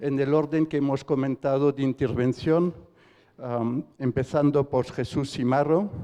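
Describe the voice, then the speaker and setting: A man's dark, mellow voice at a medium pitch, fairly slow and fairly even in intonation. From Switzerland. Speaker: debate moderator. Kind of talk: panel introduction. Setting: auditorium, in person and online. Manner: halting, with fillers.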